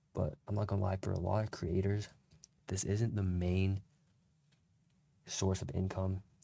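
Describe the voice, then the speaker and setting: This man has a very deep, low pitch and a dark, mellow tone that is somewhat breathy and quiet. He keeps fairly even intonation at a moderate pace. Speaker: content creator. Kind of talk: casual tutorial. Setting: at home late at night. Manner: quiet, low volume; casual slangy rambling.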